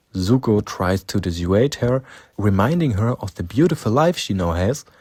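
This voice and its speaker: A man with a German accent, medium in pitch with lively intonation, at a moderate pace. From Germany. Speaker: fan video narrator. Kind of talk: scripted narration.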